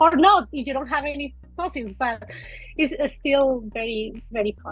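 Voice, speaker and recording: With music in the background, a woman speaks at a moderate pace in a high voice with a Spanish accent, ordinary pitch variation and big swings in loudness. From Colombia. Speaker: micropaleontologist. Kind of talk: interview. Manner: halting.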